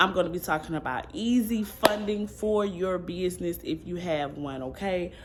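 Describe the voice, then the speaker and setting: A woman speaks with lively intonation and a fairly low pitch. Her tone is animated, with noticeable background noise. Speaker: vlogger. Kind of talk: casual vlog talk to camera.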